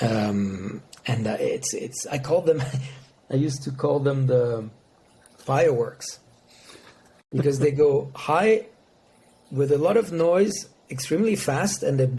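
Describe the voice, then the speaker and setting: Speaking with a French accent, a man's somewhat breathy, dark, mellow voice moves at a fairly slow pace with lively intonation and long, frequent pauses. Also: fairly high pitch for a man. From France. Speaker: motorsport sponsorship executive. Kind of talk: podcast interview. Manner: halting.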